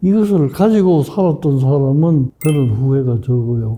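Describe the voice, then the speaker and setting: At a fairly slow pace, a man speaks in a dark, mellow tone that is somewhat breathy. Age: 80s+. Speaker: psychiatrist. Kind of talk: interview answer.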